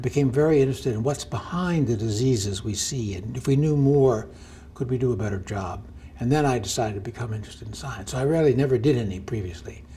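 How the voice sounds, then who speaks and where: A man speaks at a very fast pace in an American accent, with medium pitch and ordinary pitch variation. Room echo is audible. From US Northeast, New Jersey. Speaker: physician and medical researcher. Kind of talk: interview. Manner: halting.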